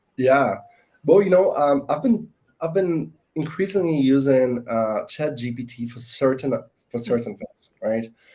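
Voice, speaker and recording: Speaking with a non-native accent at a fairly slow pace, a man uses a dark, mellow tone and fairly high pitch, with lively intonation and big swings in loudness. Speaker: sales professional. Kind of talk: panel discussion. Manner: hesitant, many fillers.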